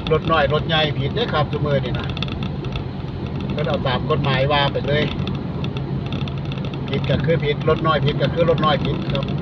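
A dry sound with no echo, under loud background noise. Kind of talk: casual driving commentary. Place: car. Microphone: phone near.

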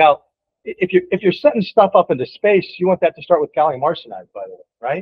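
A man talks at a fairly quick pace and fairly high pitch, with a slightly husky edge. The sound is dry and close, with no echo.

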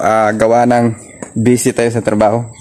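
With light background noise behind him, a man speaks in a monotone, flat intonation. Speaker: fitness vlogger. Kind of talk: casual vlog chat. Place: garden. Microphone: phone near.

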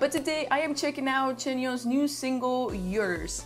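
Against background music, a woman talks at a moderate pace in a high, upbeat and excited voice. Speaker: YouTube K-pop reactor. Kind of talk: casual reaction talk to camera. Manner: upbeat, excited. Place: home room.

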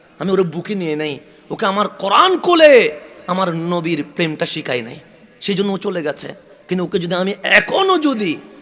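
Noticeable background noise sits behind a man whose high pitch carries lively intonation. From Chittagong, Bangladesh. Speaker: Islamic preacher. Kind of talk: sermon. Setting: religious gathering with PA system.

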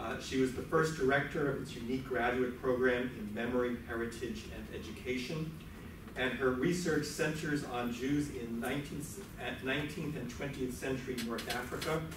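Fairly even intonation and a moderate pace come through noticeable background noise and audible room echo. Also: man. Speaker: host introducing lecturer. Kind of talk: speaker introduction. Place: hall. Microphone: camera far.

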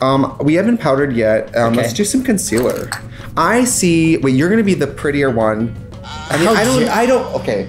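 Music plays clearly in the background. The speech moves at a moderate pace. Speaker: makeup video host. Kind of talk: casual chat during a makeup tutorial. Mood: playful, joking, laughing. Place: home room.

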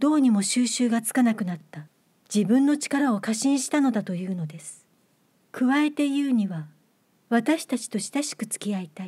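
Lively intonation and big swings in loudness at a moderate pace, in a very clean recording with a silent background. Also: woman. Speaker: actress and reader. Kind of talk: literary audiobook reading.

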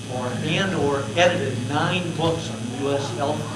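Noticeable background noise accompanies a man who talks at a fairly slow pace. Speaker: event host. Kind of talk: event introduction. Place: meeting room.

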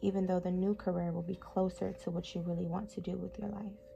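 A soft-spoken woman talks with music playing in the background. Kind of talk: ASMR book reading.

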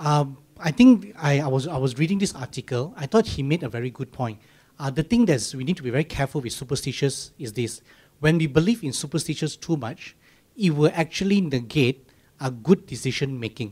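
A man speaks at a fairly quick pace in a somewhat breathy, fairly high voice. His intonation is lively. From Malaysia. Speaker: church podcast host. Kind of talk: casual chat. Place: studio. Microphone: handheld.

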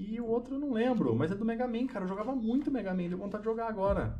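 A man's voice over light background noise. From Brazil. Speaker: gaming youtuber; gamer streamer. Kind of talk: gameplay commentary. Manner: animated. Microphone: headset.

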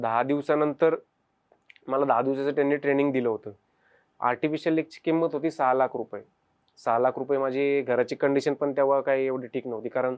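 Flat, monotone intonation from a man whose pitch runs fairly high. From Pune, Maharashtra, India. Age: 20s. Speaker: wheelchair cricket captain and lab technician. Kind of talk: first-person testimony.

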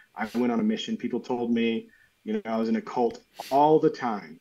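A man with an American accent talks at a moderate speed. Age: 30s. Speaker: artist; podcast guest. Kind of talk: casual chat. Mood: calm, thoughtful. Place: home room.

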